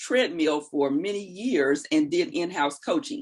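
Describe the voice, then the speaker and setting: Vocal fry in a woman's voice, very wide pitch swings, moderate pace. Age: 60s. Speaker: life coach. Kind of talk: interview.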